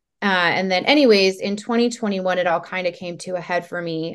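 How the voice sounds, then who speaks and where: Over a quiet background, a woman with an unremarkable speaking voice at medium pitch talks at a moderate pace with ordinary pitch variation. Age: 30s. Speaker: health coach, former substance abuse counselor. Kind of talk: casual interview chat.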